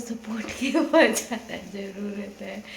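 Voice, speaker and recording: A woman's fairly high voice carries audible room echo, with noticeable background noise around it. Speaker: vlogger. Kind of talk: casual vlog chat.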